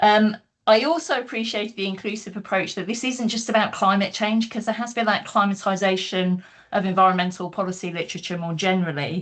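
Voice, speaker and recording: Over a quiet background, a woman with a British accent talks at a fairly quick pace, her medium pitch showing ordinary variation. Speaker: academic panelist. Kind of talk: book launch panel talk. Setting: online video call. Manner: fast.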